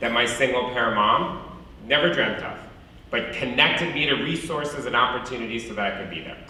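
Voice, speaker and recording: The man's fairly quick speech, with ordinary pitch variation, comes through audible room echo and noticeable background noise. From US Midwest, Mexican-American community. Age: 40s. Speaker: alumni speaker, nonprofit executive. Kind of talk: commencement speech. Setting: stage with audience. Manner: loud.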